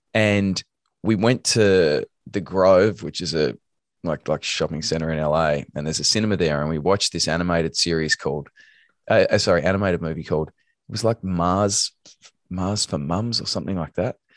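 Against a quiet background, a man with a very deep, low pitch speaks at a fairly quick pace with ordinary pitch variation, in a dry, close sound with no echo. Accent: Australian. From Australia, Melbourne. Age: 40s. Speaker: actor and voice actor. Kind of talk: casual interview.

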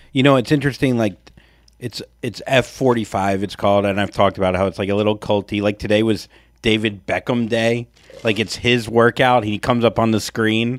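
Here a man with a normal speaking voice talks at a fairly quick pace, with medium pitch and fairly even intonation. The recording is very clean, with a silent background. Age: 40s. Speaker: podcast co-host. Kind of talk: casual chat.

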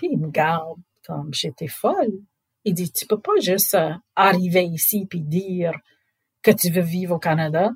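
This woman has an English accent and a fairly low pitch. Her voice is somewhat breathy. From southwest Louisiana, US. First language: English (speaking French). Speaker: NGO director. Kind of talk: storytelling interview. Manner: casual.

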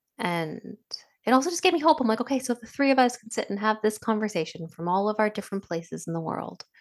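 Talking at a very fast pace, a woman with a fairly high pitch makes very wide pitch swings and big swings in loudness. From Indian diaspora, second-generation immigrant. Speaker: podcast co-host. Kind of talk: casual chat. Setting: video call.

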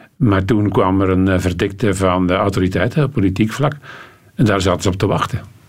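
A plain, everyday voice from a man, fairly low in pitch, fairly quick, with ordinary pitch variation and very even loudness. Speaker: cycling commentator. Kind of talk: studio talk show interview.

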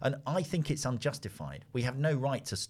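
With a London accent and vocal fry, a man speaks at a moderate pace and medium pitch. The recording is very clean, with a silent background. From London, Finsbury Park. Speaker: analyst, podcast co-host. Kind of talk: casual discussion.

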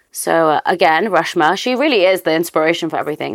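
Talking at a very fast pace, a woman with a fairly low voice is heard on a very clean recording with a silent background. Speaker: podcast host and company founder. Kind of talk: casual chat.

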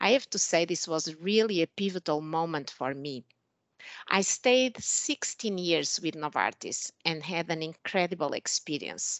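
Lively intonation at a fairly slow pace, with a Portuguese accent. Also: woman, fairly low pitch for a woman. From Portugal. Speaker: pharmaceutical executive. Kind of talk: interview.

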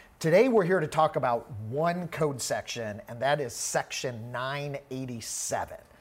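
With an American accent and a plain, everyday voice, a man speaks at a moderate pace and a medium pitch. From US Midwest (Missouri). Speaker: podcast host, tax firm leader. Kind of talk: technical discussion on a podcast. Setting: studio.

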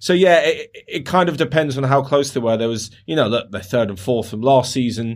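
An ordinary speaking voice from a man at medium pitch, with lively intonation, a moderate pace and hardly any pauses. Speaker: football podcaster. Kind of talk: casual chat.

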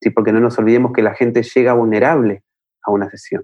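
A man's medium-pitched voice with a Buenos Aires accent. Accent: Rioplatense Spanish (Buenos Aires). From Argentina, Buenos Aires. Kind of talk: interview conversation.

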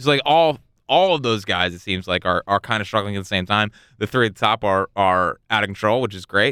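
A man speaks in an unremarkable speaking voice at a fairly low pitch. He moves at a fairly quick pace with ordinary pitch variation. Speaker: podcast host. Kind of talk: casual banter. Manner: joking, interrupts often.

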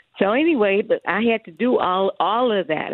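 A woman with an American accent, an unremarkable speaking voice, ordinary pitch variation and a fairly quick pace. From US Midwest. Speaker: chef. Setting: phone call.

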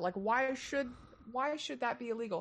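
Her voice high-pitched for a woman, the speaker talks at a fairly quick pace. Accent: American. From Texas. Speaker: comedian. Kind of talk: casual chat.

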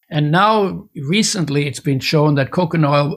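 Speaking at a moderate pace, a man has a fairly high pitch and a somewhat breathy voice. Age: 80s+. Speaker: nutrition expert and oil producer. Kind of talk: interview.

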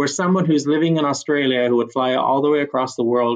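A man speaks in a normal speaking voice with a Canadian accent. His pitch is medium, with ordinary pitch variation. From Canada. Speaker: HR executive. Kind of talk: casual interview chat.

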